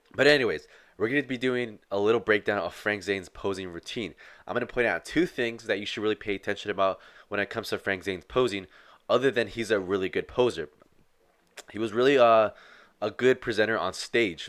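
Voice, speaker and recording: On a very clean recording with a silent background, a man speaks very fast in an energetic tone at a medium pitch with ordinary pitch variation. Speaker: fitness youtuber. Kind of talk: casual video commentary. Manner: casual, energetic.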